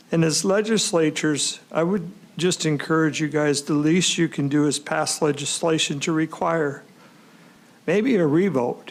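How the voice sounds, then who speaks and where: In a normal speaking voice, a man with fairly high pitch talks at a moderate pace, keeping his loudness very even and his intonation fairly even. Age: 60s. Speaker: public witness at hearing. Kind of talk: public testimony. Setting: legislative committee hearing.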